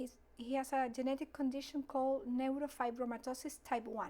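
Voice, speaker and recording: With a Chilean accent, this woman talks in a flat monotone, her high pitch carried by a dark, mellow tone. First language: Spanish. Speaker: mother of patient. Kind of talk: interview. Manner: halting.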